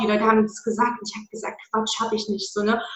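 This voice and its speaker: Audible room echo surrounds this woman as she speaks. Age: 20s. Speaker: anti-diet coach. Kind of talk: interview.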